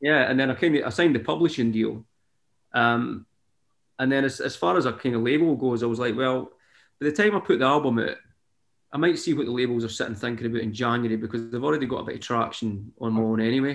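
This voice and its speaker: Very fast speech in a Scottish accent, with ordinary pitch variation. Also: man, medium pitch for a man. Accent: Scottish (Fife). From Scotland, Fife. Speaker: singer-songwriter. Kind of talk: casual interview chat.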